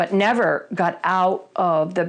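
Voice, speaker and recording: A voice with an American accent against a quiet background. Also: woman. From Vermont, US. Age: 60s. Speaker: person in recovery. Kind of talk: testimony. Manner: halting.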